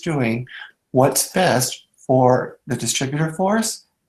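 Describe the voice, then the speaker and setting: Ordinary pitch variation in a man's somewhat breathy voice. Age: 50s. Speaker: network marketing distributor. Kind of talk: interview. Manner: halting, many fillers.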